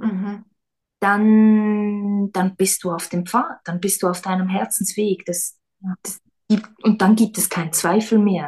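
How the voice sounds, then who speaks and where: A somewhat breathy woman at a very slow pace. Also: medium pitch for a woman. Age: 30s. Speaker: schoolteacher and former stage actress and singer. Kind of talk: casual interview.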